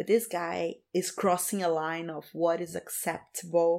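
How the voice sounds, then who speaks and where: On a very clean recording with a silent background, a woman with a Portuguese accent speaks at a fairly low pitch. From Brazil, Rio de Janeiro. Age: 30s. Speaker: community founder, activist. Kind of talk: casual interview.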